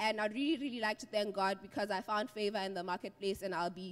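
A woman talking very fast, with ordinary pitch variation. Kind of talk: church testimony. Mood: grateful, earnest. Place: church. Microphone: handheld.

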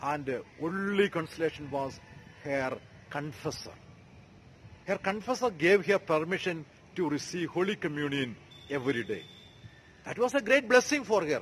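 Over light background noise, a man talks at a moderate pace with very wide pitch swings and long, frequent pauses. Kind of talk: sermon. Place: street. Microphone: phone near.

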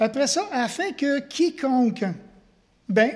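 Against a quiet background, a man talks at a fairly slow pace. His intonation is lively. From Quebec. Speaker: pastor. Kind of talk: sermon. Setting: church. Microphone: headset.

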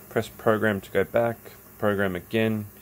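Over light background noise, a man with an Australian accent speaks at a moderate pace in a monotone, flat intonation. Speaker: hobbyist YouTuber. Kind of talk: tutorial. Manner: casual, with fillers. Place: workshop. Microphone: phone near.

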